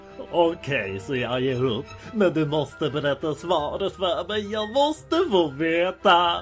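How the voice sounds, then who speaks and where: Over clear music in the background, a man uses a put-on character voice at a high pitch. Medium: dub.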